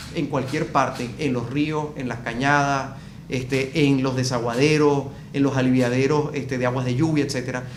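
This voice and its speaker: A man with a Venezuelan accent, fairly even intonation, and audible room echo. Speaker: event coordinator. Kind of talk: interview. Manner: hesitant, many fillers.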